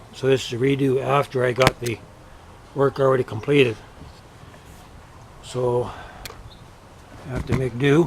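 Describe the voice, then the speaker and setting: Speech comes at a moderate pace with long, frequent pauses and a monotone, flat intonation. Noticeable background noise runs underneath. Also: man, medium pitch for a man. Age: 50s. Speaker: DIY builder. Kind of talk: tutorial. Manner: halting.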